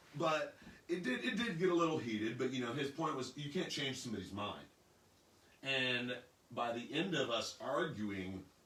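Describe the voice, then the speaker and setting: A man with an American accent talks with lively intonation. Noticeable background noise and audible room echo fill the recording. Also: medium pitch for a man, moderate pace. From northeast Kansas. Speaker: panel guest. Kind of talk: panel discussion. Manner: loud, projecting; animated.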